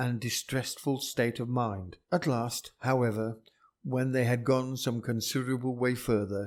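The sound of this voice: An unforced reading voice comes through with fairly even intonation.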